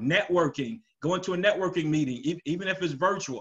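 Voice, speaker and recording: The background stays quiet. A man talks at a moderate pace, and his pitch varies in an ordinary way. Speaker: telecom business owner and sales speaker. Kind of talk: webinar presentation. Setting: video call. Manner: animated, casual. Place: home room.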